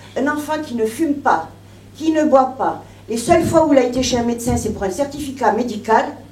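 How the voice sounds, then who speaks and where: Amid noticeable background noise and audible room echo, a woman with a high pitch speaks at a moderate pace with ordinary pitch variation. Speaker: bereaved mother giving testimony. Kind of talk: testimony. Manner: emotional, trembling.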